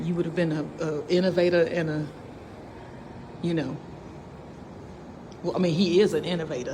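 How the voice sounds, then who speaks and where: Audible room echo surrounds a woman with a fairly low pitch. She talks at a fairly quick pace, with long, frequent pauses. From St. Louis, Missouri. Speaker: vlogger. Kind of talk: casual chat. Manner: loud; animated.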